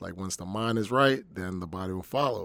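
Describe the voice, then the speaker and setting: A man with an American accent has an ordinary speaking voice, fairly low in pitch with ordinary pitch variation, at a moderate pace. The recording is very clean with a silent background and a dry, close sound with no echo. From US Northeast (New Jersey). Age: 40s. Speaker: personal trainer and bodybuilder. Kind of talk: casual interview.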